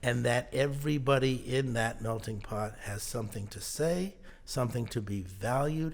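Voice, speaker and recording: A man with an American accent, medium in pitch and somewhat breathy, at a moderate pace with ordinary pitch variation. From Connecticut, US. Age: 60s. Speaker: business consultant. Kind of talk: interview. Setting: studio. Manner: halting.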